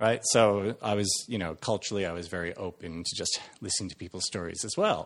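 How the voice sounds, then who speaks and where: Fairly quick and fairly even in intonation, a man speaks at a fairly low pitch. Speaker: actor. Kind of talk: casual storytelling. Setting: podcast interview.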